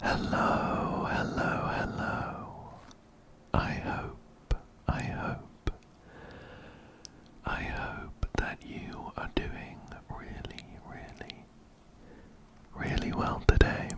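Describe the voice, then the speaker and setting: A man whispers at a very slow pace, with long, frequent pauses, big swings in loudness, and noticeable background noise behind him. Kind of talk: ASMR gaming commentary. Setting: close binaural microphone. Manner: whispered.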